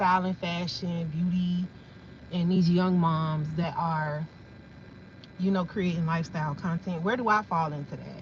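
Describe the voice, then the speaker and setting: Pitch rises and falls in a typical way, at a middling speed. There is some breathiness in the sound. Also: woman. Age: 40s. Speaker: content creator, livestreamer. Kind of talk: casual livestream chat. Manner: animated.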